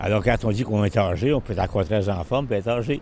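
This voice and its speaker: A man speaks at a very fast pace. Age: old. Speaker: vox pop interviewee. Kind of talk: street interview.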